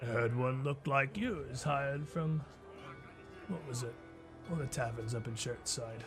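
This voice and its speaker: A man puts on a gravelly character voice at medium pitch and a moderate pace, with long, frequent pauses. Music plays in the background. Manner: condescending.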